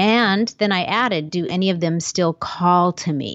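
At a fairly slow pace, a woman with a fairly low pitch speaks in a plain, everyday voice. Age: 50s. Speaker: podcast host and life coach. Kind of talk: solo monologue podcast. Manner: casual, conversational.

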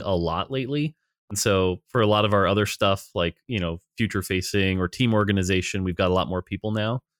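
With an unremarkable speaking voice, a man talks at a fairly quick pace and a fairly low pitch, recorded very cleanly against a silent background with a dry, close sound and no echo. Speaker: game designer. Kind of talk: interview, casual conversation. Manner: casual, fluent.

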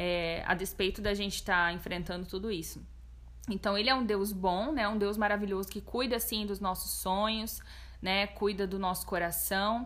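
A woman's vocal fry at a moderate pace, fairly even in intonation, with audible room echo. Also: medium pitch for a woman. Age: 20s. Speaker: guest sharing testimony of anxiety. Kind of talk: testimony; casual chat.

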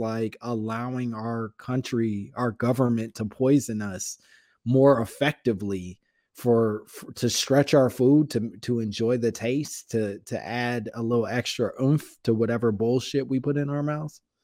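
With an American accent, a man talks fairly slowly at a medium pitch, his dark, mellow tone carrying fairly even intonation on a very clean recording with a silent background. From Chicago area, Illinois. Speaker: comedian and podcaster. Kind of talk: casual chat.

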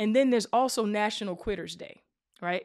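This is a woman with a fairly high pitch and an ordinary speaking voice. Her pitch varies in an ordinary way, and the sound is dry and close with no echo. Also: very clean recording, silent background. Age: 40s. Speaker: career podcast host. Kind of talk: live conversation.

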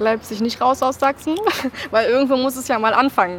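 Noticeable background noise runs under a woman speaking at a fairly quick pace. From Baden-Württemberg (near Karlsruhe). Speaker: special education student. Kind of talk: interview.

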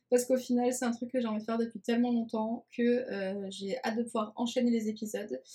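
A woman speaks at a fairly quick pace in a dark, mellow tone, her intonation monotone and flat. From France, Nice. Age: 20s. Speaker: communication agency founder, podcast host. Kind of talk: casual podcast monologue. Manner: talkative.

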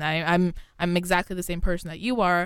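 With an American accent, a woman speaks fairly quickly in a flat monotone. Her pitch sits fairly low. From New York. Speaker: college radio host. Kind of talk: casual news discussion. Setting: radio studio.

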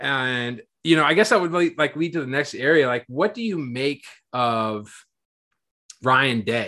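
A man's bright, sharp, fairly high voice with an American accent, lively intonation and long, frequent pauses over a quiet background. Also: fairly slow pace. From Marion, Ohio (US Midwest). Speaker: podcast host and sports blogger. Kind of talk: casual chat.

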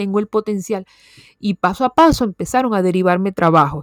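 Here a woman speaks at a moderate pace and a medium pitch, her tone animated. The sound is dry and close, with no echo. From Venezuela. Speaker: podcast host, copywriter and journalist. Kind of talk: casual monologue.

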